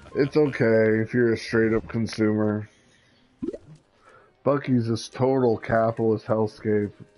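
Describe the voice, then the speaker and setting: Over music in the background, a man speaks at a fairly slow pace with long, frequent pauses, his medium-pitched voice flat and monotone at very even loudness. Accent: American. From US Midwest. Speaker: gaming livestreamer. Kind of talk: casual chat.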